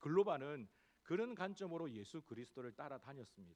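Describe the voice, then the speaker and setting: Moving through very wide pitch swings, a man talks at a moderate pace. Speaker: pastor. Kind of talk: sermon.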